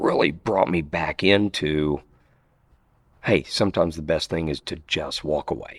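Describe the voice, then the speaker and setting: The recording is very clean, with a silent background. The speaker talks at a fairly slow pace with ordinary pitch variation. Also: man. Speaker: knifemaker. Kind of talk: interview. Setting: knife show.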